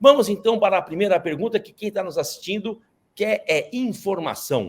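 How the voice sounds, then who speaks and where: Speaking at a moderate pace in a high voice, a man shows ordinary pitch variation and big swings in loudness, recorded very cleanly against a silent background. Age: 60s. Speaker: interview host. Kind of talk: interview. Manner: casual.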